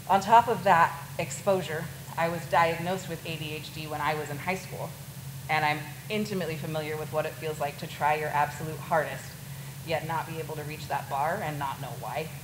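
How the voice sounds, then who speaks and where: Speaking at a fairly quick pace with an American accent, a woman has a very deep, low pitch, fairly even intonation and big swings in loudness, with noticeable background noise and audible room echo. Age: 30s. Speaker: crisis worker and nurse. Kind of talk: talk to a student audience.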